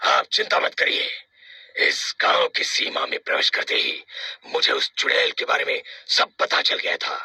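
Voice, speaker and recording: A man performs a cartoonish character voice. His pitch is extremely high. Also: moderate pace. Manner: assured, authoritative.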